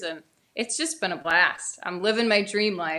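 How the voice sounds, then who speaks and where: In a New England accent, a woman speaks with a bright, sharp tone. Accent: Yankee twang. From upstate New York. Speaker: country singer. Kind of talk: casual chat. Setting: studio.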